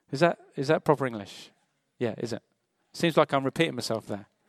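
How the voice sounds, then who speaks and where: A man with a British accent and very wide pitch swings, on a very clean recording with a silent background. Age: 40s. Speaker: pastor. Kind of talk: sermon.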